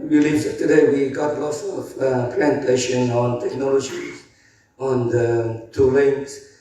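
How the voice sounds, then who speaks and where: A man of medium pitch at a very slow pace, with audible room echo and noticeable background noise. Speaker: industry association representative. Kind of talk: conference talk. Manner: halting, many fillers.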